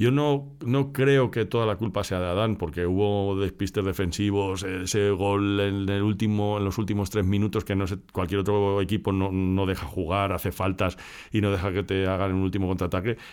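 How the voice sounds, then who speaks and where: A man's ordinary speaking voice, fairly low in pitch, at a moderate pace with fairly even intonation and hardly any pauses. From Spain, Madrid area. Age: 50s. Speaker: podcast host. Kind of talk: casual chat.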